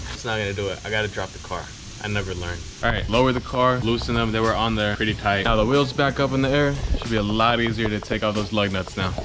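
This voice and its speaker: At a very fast pace and with fairly even intonation, the voice comes through noticeable background noise and audible room echo. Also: man, fairly low pitch for a man. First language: Spanish. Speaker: car enthusiast YouTuber. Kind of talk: DIY tutorial. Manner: casual, hesitant with fillers.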